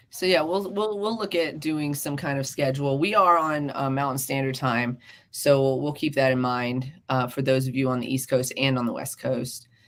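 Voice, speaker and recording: A woman speaks with a very deep, low pitch and ordinary pitch variation. She leaves hardly any pauses. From US South, South Carolina. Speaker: podcast co-host. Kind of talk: casual chat. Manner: animated.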